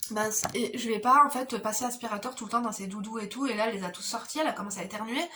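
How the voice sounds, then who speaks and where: Through noticeable background noise and audible room echo, a woman talks at a very fast pace with a fairly high pitch. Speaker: beauty vlogger and mother. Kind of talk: casual chat while doing makeup. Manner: soft-spoken. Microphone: no microphone, camera audio.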